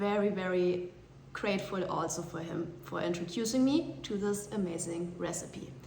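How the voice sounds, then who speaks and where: Amid noticeable background noise and audible room echo, a woman with a German accent talks at a very slow pace. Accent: German accent, apologises for her English. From Germany. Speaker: cooking vlogger. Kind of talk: casual vlog monologue. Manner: hesitant, many fillers and repetitions.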